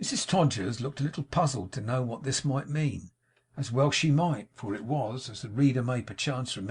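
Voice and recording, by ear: Someone is reading aloud in a natural voice. The words are spoken as written.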